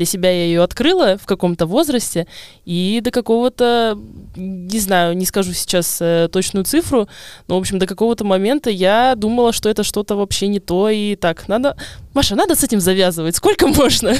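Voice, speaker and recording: Recorded very cleanly against a silent background, a plain, everyday voice moves at a moderate pace with ordinary pitch variation and a dry, close sound with no echo. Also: woman, medium pitch for a woman. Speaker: podcast host. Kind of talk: casual chat.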